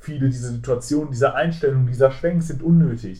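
The man's voice is somewhat breathy. He talks at a fairly quick pace. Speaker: film podcast host. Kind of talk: casual film discussion. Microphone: muffled sound, as if a blanket over the mic.

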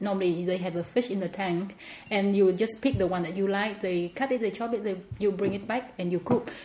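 Here a woman speaks with a Vietnamese accent. Her intonation stays fairly even. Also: medium pitch for a woman, fairly quick pace. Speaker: home cook and podcast guest. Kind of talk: casual interview chat.

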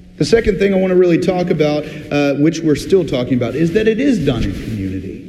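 Noticeable background noise and audible room echo fill the recording. A man with a high pitch speaks at a fairly quick pace, his voice making very wide pitch swings. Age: 40s. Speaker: pastor. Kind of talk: sermon. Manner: conversational, with filler words.

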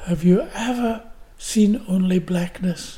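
The speaker is a man with a dark, mellow tone. His pitch varies in an ordinary way. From Glasgow, Scotland. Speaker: actor, writer and painter. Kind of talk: interview reminiscing. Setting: at home.

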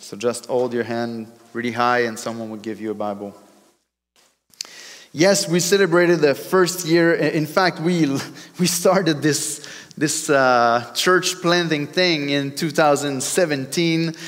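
Speech comes at a fairly slow pace in a French accent with lively intonation. Audible room echo surrounds it. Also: man, fairly high pitch for a man. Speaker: pastor. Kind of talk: sermon. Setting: church. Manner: halting.

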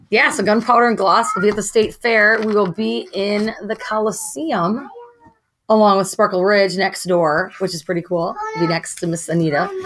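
Hers is an unremarkable speaking voice, a woman at medium pitch keeping a moderate pace. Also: ordinary pitch variation. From rural Wisconsin. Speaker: makeup artist and entrepreneur. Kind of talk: casual interview.

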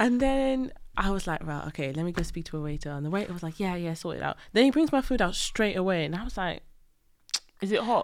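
A woman with a Welsh accent talks at a very fast pace in a medium pitch with very wide pitch swings, on a very clean recording with a silent background. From Wales. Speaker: friend of the host. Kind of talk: casual chat.

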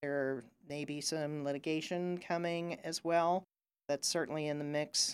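Recorded very cleanly against a silent background, a woman with an American accent speaks fairly slowly in a very deep, low pitch with ordinary pitch variation. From Ohio. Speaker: lawyer. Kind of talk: casual interview.

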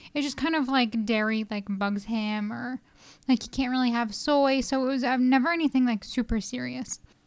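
A quiet woman with a high pitch talks at a moderate pace with ordinary pitch variation. The recording is very clean, with a silent background. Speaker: podcast co-host, mother. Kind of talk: casual chat. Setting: recorded at home.

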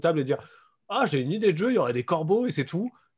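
Speaking very fast, a man has a somewhat breathy quality to his voice. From France. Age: adult. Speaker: board game designer. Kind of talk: casual chat.

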